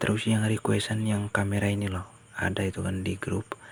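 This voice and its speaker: A somewhat breathy male voice at a moderate pace, in monotone, flat intonation. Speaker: video editing tutorial creator. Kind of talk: tutorial. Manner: casual.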